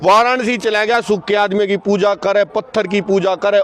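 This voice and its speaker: A man with a high-pitched voice talks as noticeable background noise carries on. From Haryana. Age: old. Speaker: farmer protester. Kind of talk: impassioned interview answer at protest.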